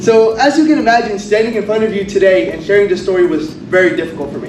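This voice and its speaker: Noticeable background noise surrounds the man's voice. Room echo can be heard as well. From Kurdistan, Iraq; raised in Kentucky from age seven. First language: Kurdish. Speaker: college honors graduate. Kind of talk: graduation speech. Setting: stage with audience.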